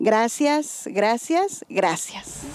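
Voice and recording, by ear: A woman speaks very slowly at a fairly high pitch, her slightly mellow tone making big pitch swings over faint background noise.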